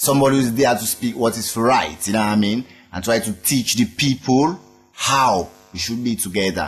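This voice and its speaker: Here a man talks with a Sierra Leonean accent at a moderate pace. His medium pitch shows ordinary variation. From Sierra Leone, Freetown. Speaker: reggae musician. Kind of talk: interview.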